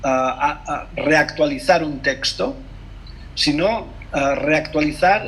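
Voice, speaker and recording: A man with a Catalan accent, over noticeable background noise. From Mallorca, Spain. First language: Catalan (speaking Spanish). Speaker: translator and poet. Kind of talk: interview conversation over video call. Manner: halting, many hesitations and self-corrections.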